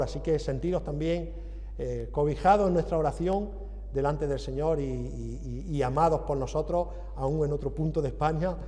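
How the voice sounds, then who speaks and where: In an Andalusian accent, a man speaks at a moderate pace. Audible room echo surrounds his voice. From Andalusia, southern Spain. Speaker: visiting preacher. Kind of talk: sermon.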